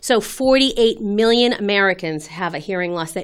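A woman speaks in a normal speaking voice. The recording is very clean, with a silent background. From Massachusetts, Boston area (Winchester). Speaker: audiologist. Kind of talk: interview.

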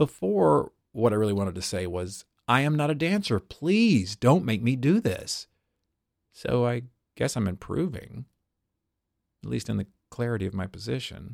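A man speaks at a medium pitch and moderate pace with lively intonation and long, frequent pauses, in a dry, close sound with no echo on a very clean recording with a silent background. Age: 40s. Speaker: stage actor. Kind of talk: reading aloud.

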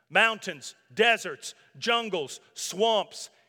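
Bright and sharp in tone, the man's voice is raised and projected. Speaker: pastor. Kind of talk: sermon. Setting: church.

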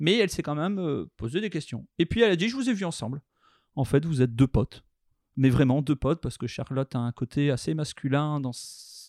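At a fairly quick pace and with lively intonation, an ordinary speaking voice comes through a dry, close sound with no echo on a very clean recording with a silent background. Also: man, fairly high pitch for a man. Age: 30s. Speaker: chocolatier. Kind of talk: interview testimony.

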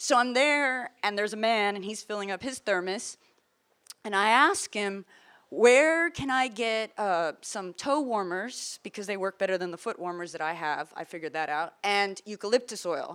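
A woman at medium pitch with an unremarkable speaking voice talks at a moderate pace with lively intonation, in a very clean recording over a silent background. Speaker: journalist. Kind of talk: panel talk, storytelling. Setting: conference panel.

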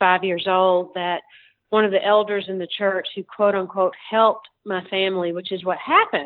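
A woman talks at a moderate pace with fairly even intonation in a plain, everyday voice. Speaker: priest and nonprofit founder. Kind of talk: casual interview.

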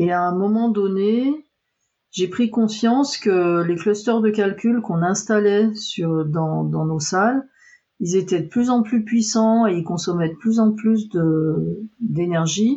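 A somewhat breathy woman at a medium pitch, with ordinary pitch variation and a very slow pace. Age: 50s. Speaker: computer science research engineer. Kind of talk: interview.

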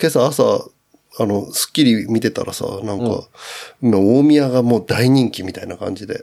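A man speaks at medium pitch and a moderate pace, his tone dark and mellow. His loudness swings widely. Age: 40s. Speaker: podcast guest. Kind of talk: casual chat.

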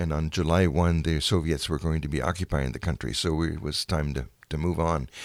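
A man speaks at a very deep, low pitch with vocal fry and fairly even intonation, at a fairly quick pace. The recording is very clean, with a silent background. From Germany (Dessau). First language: German. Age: 80s+. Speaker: museum docent, war childhood witness. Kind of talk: personal testimony interview. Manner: halting, many fillers.

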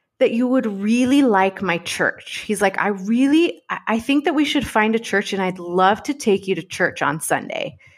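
A woman with an American accent speaks at a fairly slow pace, fairly high in pitch and with lively intonation. She has an unremarkable speaking voice, on a very clean recording with a silent background. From Texas, Dallas. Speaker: podcast host. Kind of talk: interview.

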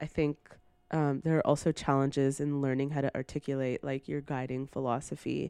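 In a Canadian accent, a woman with a very deep, low pitch and a dark, mellow tone speaks at a fairly quick pace in a monotone, flat way, the sound dry and close with no echo and a quiet background. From Brampton, Ontario, Canada. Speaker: writer and editor. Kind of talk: casual chat.

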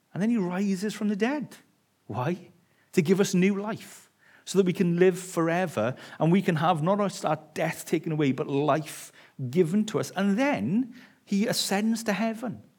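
The recording is very clean, with a silent background. A man speaks at a moderate pace in a high voice with ordinary pitch variation. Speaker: visiting preacher. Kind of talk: sermon. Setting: church.

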